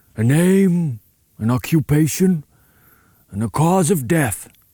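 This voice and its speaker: Putting on a booming character voice, a man speaks at a fairly high pitch and a fairly slow pace with lively intonation, the sound dry and close with no echo. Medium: read story. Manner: reassured, preacher-like.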